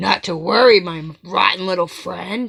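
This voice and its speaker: A woman puts on a growling character voice at a medium pitch. She keeps a moderate pace. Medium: read story.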